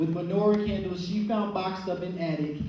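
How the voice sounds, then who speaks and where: High-pitched male voice in an American accent at a moderate pace, with noticeable background noise. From Chicago. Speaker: poet. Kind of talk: spoken word poetry performance.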